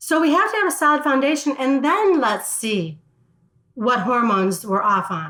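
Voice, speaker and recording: A high-pitched woman with an American accent in a raised, projected voice, at a moderate pace with very wide pitch swings. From US Midwest, Chicago. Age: 60s. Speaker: wellness entrepreneur. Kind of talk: interview. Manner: animated.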